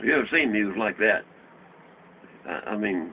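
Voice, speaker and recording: Over noticeable background noise, a man talks at a moderate pace with a Southern US accent. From Ripley, Tennessee. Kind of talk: interview answer. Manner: casual, profane storytelling.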